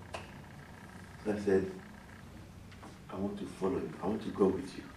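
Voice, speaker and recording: Over noticeable background noise, a man with a very deep, low voice speaks fairly slowly, his pitch varying in an ordinary way. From Benin. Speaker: storyteller. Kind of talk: live storytelling performance. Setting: live audience, indoors.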